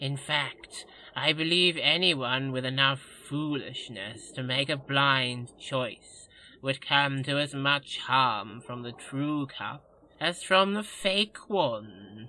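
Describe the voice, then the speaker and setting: A put-on character voice at a very slow pace, with ordinary pitch variation. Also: man, medium pitch for a man. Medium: audio drama. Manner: fawning, addresses master as Lordness, piles on -ness endings.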